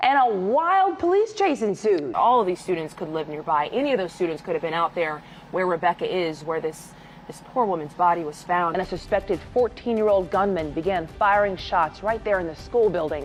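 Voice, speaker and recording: A woman talks fairly quickly while music plays behind her. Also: medium pitch for a woman, ordinary pitch variation. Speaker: news anchor and reporter. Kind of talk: breaking news anchor read. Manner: urgent, serious.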